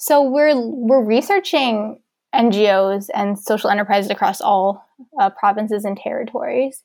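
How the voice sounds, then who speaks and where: With a Canadian accent, a woman speaks in an unremarkable speaking voice, fairly high in pitch, with ordinary pitch variation at a moderate pace. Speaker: university student and volunteer coordinator. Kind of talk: interview.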